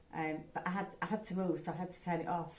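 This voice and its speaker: A woman speaks with a Yorkshire accent. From England. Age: 70s. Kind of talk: casual talk to camera.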